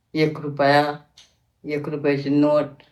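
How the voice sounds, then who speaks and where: The voice belongs to a woman. It sits very deep and low. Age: 80s+. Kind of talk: interview answer.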